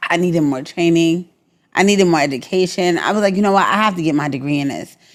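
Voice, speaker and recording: A woman speaks with a Brooklyn accent. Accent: New York (Brooklyn). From New York, Brooklyn. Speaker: Navy veteran and entertainment publicist. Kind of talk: interview. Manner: repetitive, stammering restarts.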